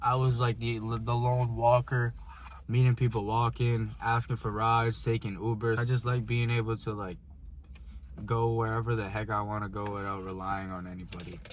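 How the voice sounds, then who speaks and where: On a very clean recording with a silent background, a somewhat breathy man speaks at medium pitch and a moderate pace with fairly even intonation. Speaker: vlogger. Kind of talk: casual chat. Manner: halting.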